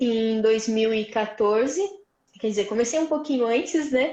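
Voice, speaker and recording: A woman's fairly high voice carries audible room echo. Her pitch varies in an ordinary way. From Brazil, Vale do Paraíba (São Paulo state). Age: 20s. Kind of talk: testimony. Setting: live stream.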